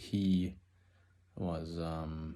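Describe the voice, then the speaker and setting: A man with an American accent speaks with a very deep, low pitch and fairly even intonation. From Minnesota, Twin Cities area. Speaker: student, finish carpenter. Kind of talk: class introduction video. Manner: casual, halting with fillers.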